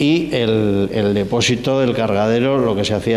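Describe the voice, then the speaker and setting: Against noticeable background noise and audible room echo, a man speaks at a fairly slow pace and medium pitch with ordinary pitch variation. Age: 60s. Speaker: sculptor giving guided exhibition tour. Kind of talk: guided tour explanation. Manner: halting, many fillers and restarts.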